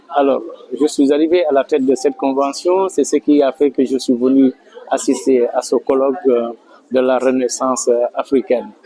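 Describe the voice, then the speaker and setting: The speech moves at a moderate pace with very even loudness. Noticeable background noise runs underneath. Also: man. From Senegal, Casamance. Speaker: community association leader. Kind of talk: interview testimony. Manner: hesitant, with fillers.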